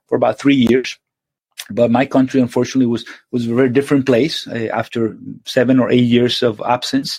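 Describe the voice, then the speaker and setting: Man's medium-pitched voice in a Spanish accent, fairly quick and fairly even in intonation, with a dry, close sound and no echo. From Venezuela. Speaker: surgeon. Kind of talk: interview. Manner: halting, many repetitions.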